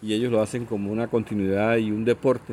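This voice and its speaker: A man's fairly low, dark and mellow voice in a monotone, flat intonation at a moderate pace. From Colombian Caribbean coast, Sucre. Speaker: radio station director. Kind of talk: interview.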